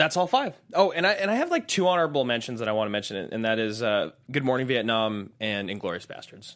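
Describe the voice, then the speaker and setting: A man with an American accent talks at a very fast pace and a medium pitch. His pitch swings very wide, and the recording is very clean with a silent background. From United States. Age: 20s. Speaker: movie podcast co-host. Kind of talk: casual chat.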